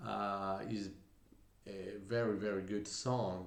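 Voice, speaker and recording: Heard with audible room echo, a man speaks with an Italian accent. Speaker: musician, singer and bassist. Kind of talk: music reaction commentary. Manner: hesitant, with fillers.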